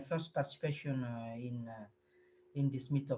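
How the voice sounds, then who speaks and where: A man talks at a medium pitch with a non-native accent. His voice is somewhat breathy, and his intonation is fairly even. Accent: non-native English speaker. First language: French. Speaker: Drupal developer. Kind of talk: self-introduction in online meetup. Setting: video call. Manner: halting.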